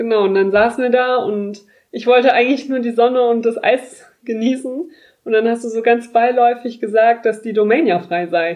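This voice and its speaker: The delivery moves at a moderate pace with ordinary pitch variation. It is a plain, everyday voice. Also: woman, fairly high pitch for a woman. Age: 20s. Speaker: podcast host. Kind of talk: casual chat.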